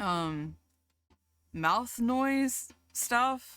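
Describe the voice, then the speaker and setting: This voice carries a Southern US accent in a very clean recording with a silent background. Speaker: streamer. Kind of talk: casual chat. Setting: live stream. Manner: animated.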